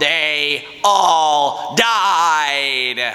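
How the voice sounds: Putting on a character voice, a man speaks in a nasal tone. His pitch sits fairly high.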